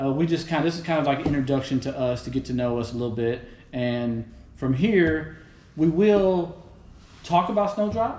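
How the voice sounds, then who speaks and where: In a room with audible echo, a man with a Texas accent speaks at a moderate pace, his fairly high voice carrying lively intonation. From Houston, Texas. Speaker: podcast host. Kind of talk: casual chat. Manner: animated.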